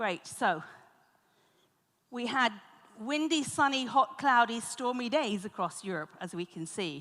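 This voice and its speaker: A woman with a British accent speaks at a fairly high pitch, her voice swinging very widely in pitch and greatly in loudness, broken by long, frequent pauses. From Britain. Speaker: conference moderator. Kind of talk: conference moderation.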